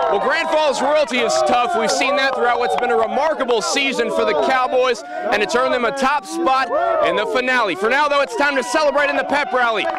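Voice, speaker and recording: A man speaks at a fairly quick pace with hardly any pauses, his pitch extremely high and his loudness very even. Pitch varies an ordinary amount, the sound is dry with no echo, and loud noise fills the background. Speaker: TV sports reporter. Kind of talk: local TV sports news report and live interview. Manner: upbeat, energetic broadcast delivery. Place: stadium. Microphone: handheld.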